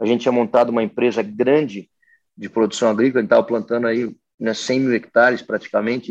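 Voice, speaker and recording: Fairly even intonation from a man pitched in the medium range. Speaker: agribusiness executive. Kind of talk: interview. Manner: halting, many fillers.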